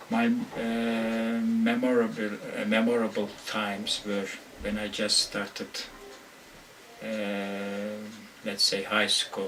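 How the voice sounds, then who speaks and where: Against audible room echo and noticeable background noise, a man speaks at a very slow pace in a medium pitch, with monotone, flat intonation and long, frequent pauses. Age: 50s. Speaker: university English lecturer. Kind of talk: interview. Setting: office. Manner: halting, many hesitations.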